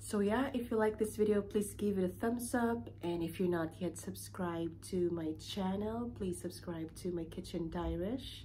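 Over light background noise, a woman talks at a moderate pace. She leaves hardly any pauses. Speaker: vlogger. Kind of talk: casual vlog chat. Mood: calm, slightly concerned. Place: home room. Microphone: phone near.

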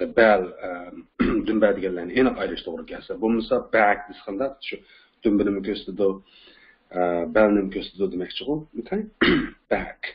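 A man's fairly low voice keeps fairly even intonation while he talks at a fairly quick pace. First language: Uyghur (speaking Turkish). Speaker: English teacher. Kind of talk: lecture.

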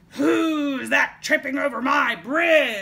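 The voice is a put-on character with a high pitch. Its delivery is very slow. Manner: roaring.

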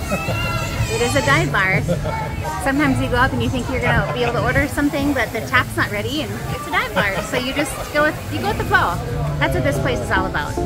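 Over loud music in the background, a woman speaks at a very fast pace. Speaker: travel vlogger. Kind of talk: casual vlog chat. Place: bar. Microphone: phone near.

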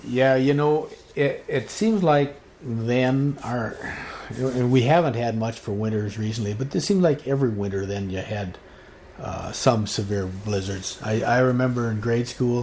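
There is noticeable background noise. Through it, a man speaks at medium pitch. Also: ordinary pitch variation, moderate pace. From North Dakota. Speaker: retired cooperative manager and rancher. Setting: interview recording.

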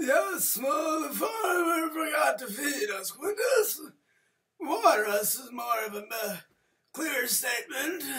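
A man's cartoonish character voice, extremely high in pitch, at a fairly slow pace. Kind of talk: comic overacting. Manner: prim, halting, then flustered outbursts.

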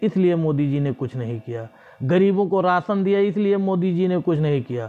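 A man's voice sits high in pitch, with a dark, mellow tone and ordinary pitch variation. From Gonda district, Uttar Pradesh, India; Uttar Pradesh, India. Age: 30s. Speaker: local political video blogger; political commentator. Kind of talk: political monologue to camera. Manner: halting, with frequent pauses. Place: home room. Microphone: lapel.

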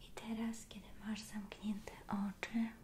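A soft-spoken woman with a soothing tone and monotone, flat intonation, over light background noise. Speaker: relaxation roleplay guide. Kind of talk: soft guided relaxation. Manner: soft, slow, soothing quiet speech. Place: home room.

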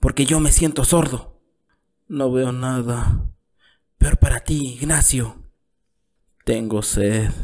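A man talks at a very slow pace with long, frequent pauses and a weary tone. His voice is dark and mellow at medium pitch, with ordinary pitch variation. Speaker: storyteller narrator. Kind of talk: dramatic reading aloud of a literary short story, voicing both father and son. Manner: weary, pleading tone as the exhausted father begs for signs of the town; bitter, reproachful storytelling as the father recalls the son's birth.

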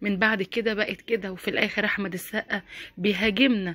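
An animated woman's voice with an Egyptian accent. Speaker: YouTuber. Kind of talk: opinion vlog commentary.

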